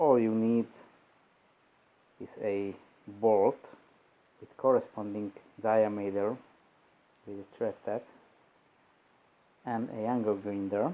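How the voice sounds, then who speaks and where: With a non-native accent, a man of fairly low pitch speaks at a very slow pace with fairly even intonation, long, frequent pauses and big swings in loudness. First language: not English. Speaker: DIY video maker. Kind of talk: tutorial.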